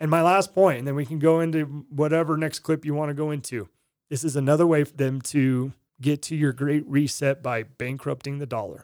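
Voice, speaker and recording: A man with a plain, everyday voice speaks at a fairly quick pace and a fairly high pitch with fairly even intonation, in a very clean recording with a silent background. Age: 30s. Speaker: podcast co-host. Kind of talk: casual chat.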